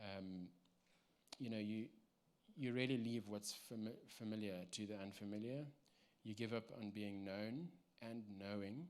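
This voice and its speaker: A fairly low-pitched man with a South African accent. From South Africa, Cape Town. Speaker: church member giving testimony. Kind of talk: testimony. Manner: halting, many fillers.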